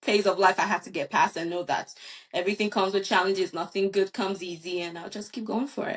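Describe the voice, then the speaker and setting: The speech moves at a very fast pace with ordinary pitch variation. Its loudness swings widely. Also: woman, medium pitch for a woman. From Nigeria. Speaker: nurse and startup founder. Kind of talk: podcast interview.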